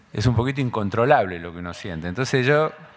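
A man with an Argentine accent speaks at a fairly quick pace with lively intonation. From Argentina. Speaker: school director; speaker. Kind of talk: lecture. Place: hall. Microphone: podium.

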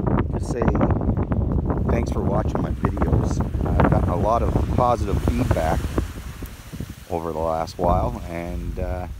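The speech comes with long, frequent pauses over loud background noise. The sound is dry, with no echo. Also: moderate pace. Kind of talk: casual talk to camera while beachcombing. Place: beach. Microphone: phone near.

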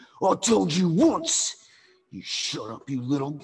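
A man's put-on character voice, fairly high in pitch and fairly slow. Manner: angry, threatening.

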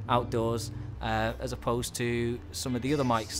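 Male speaker with background music. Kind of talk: casual tutorial commentary. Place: bar. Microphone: studio mic.

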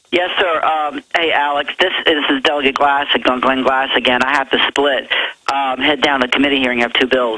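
Noticeable background noise sits behind a man who talks at a moderate pace, his pitch fairly high and his loudness very even. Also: fairly even intonation. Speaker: state legislator. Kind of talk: talk radio interview.

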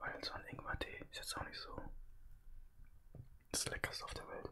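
A man is whispering. He keeps a moderate pace. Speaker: ASMR and gaming streamer. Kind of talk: casual ASMR food eating talk.

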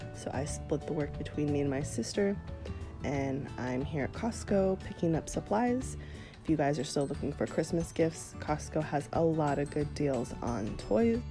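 A woman talks at a moderate speed while music plays underneath. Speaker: stay-at-home mom vlogger. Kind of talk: casual vlog voiceover.

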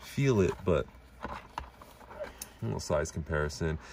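A man with an American accent at a moderate pace, with noticeable background noise. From New York. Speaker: toy reviewer. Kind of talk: product review. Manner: animated.

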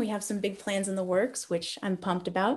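A woman speaks in an enthusiastic tone. The background is quiet. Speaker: military band musician. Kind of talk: lecture. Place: home room. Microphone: webcam.

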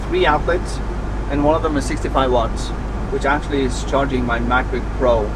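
A man's voice over loud background noise. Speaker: van-life travel vlogger. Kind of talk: casual vlog chat. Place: car. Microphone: camera far.

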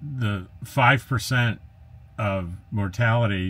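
The man's voice is somewhat breathy. His intonation is fairly even. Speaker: RV travel vlogger. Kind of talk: casual vlog chat. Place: home room.

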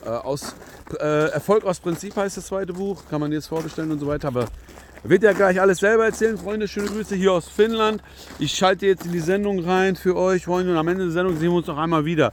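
A man's high-pitched, very fast voice with ordinary pitch variation, dry sound with no echo and light background noise. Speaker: YouTube interview host. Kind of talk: casual interview chat. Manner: casual, filler-heavy speech. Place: open country. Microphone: phone near.

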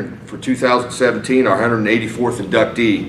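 A man is speaking over light background noise. The room adds an audible echo. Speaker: interviewer. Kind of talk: interview. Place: meeting room.

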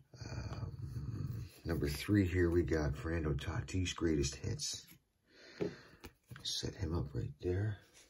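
A man's very deep, low voice with vocal fry, a very slow pace, lively intonation and quiet delivery. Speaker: trading card collector YouTuber. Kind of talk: casual card-opening video. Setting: at home. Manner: quiet, hushed. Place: home room. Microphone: phone near.

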